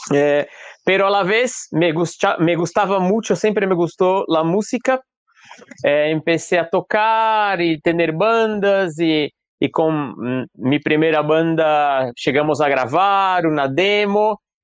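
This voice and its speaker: A man with a Brazilian accent speaks at a very slow pace and high pitch, with ordinary pitch variation. His loudness is very even, and the sound is dry and close with no echo. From Brazil, São Paulo. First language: Portuguese (speaking Spanish). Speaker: mask maker and theatre artist. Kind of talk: interview. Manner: hesitant, with fillers.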